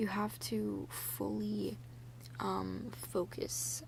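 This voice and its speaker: Soft-spoken, in a relaxed tone. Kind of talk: soft-spoken ASMR ramble talking to camera. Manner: soft-spoken, relaxed.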